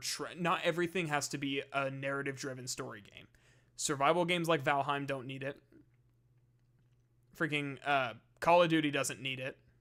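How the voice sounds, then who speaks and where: Doing a put-on character voice, a man shouts in a raspy, fairly high pitch with fairly even intonation, big swings in loudness, a moderate pace, and long, frequent pauses. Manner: ranting, yelling loudly.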